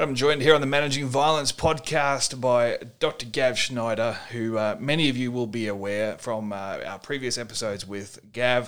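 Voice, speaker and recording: On a very clean recording with a silent background, a man speaks with an Australian accent. His medium-pitched voice shows ordinary pitch variation at a moderate pace, with hardly any pauses. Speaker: podcast host, former bouncer and violence management trainer. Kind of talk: interview podcast. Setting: hotel room.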